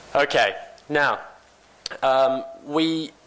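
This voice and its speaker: There is noticeable background noise behind a man as he talks. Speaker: company CEO, conference speaker. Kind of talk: conference presentation. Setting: conference stage with audience. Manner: fast.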